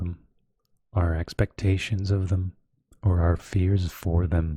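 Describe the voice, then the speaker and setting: A man speaks at a very deep, low pitch with a dark, mellow tone, somewhat breathy and monotone, flat in intonation. The recording is very clean with a silent background and a dry, close sound with no echo. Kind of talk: slow audiobook-style reading of a self-help book. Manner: soft-spoken, slow, relaxing.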